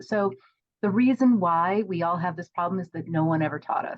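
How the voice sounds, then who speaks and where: Here a woman is speaking. She has a normal speaking voice. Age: 50s. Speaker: professional organizer and course creator. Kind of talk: podcast interview.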